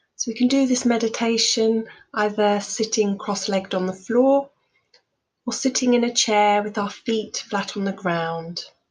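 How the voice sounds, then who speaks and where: Breathiness comes through to some degree. The pitch shifts in an ordinary way. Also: woman, fairly high pitch for a woman. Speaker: mindfulness coach, meditation guide. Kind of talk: guided meditation. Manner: calm, slow, soothing.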